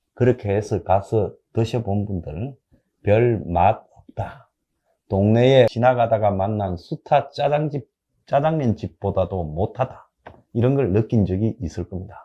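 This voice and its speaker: A man speaks very slowly at a fairly low pitch, his dark, mellow tone somewhat breathy, with ordinary pitch variation against a quiet background. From South Korea, Gyeongsang (Busan area). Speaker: political commentator. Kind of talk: political commentary monologue. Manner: animated, colloquial.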